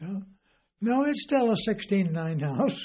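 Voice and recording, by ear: A dark, mellow tone carries speech that moves at a moderate pace. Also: man.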